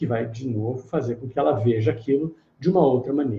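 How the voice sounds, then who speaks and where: Speaking at a moderate pace, a man has a dark, mellow tone that is somewhat breathy. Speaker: therapist and meditation teacher. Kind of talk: live online lecture.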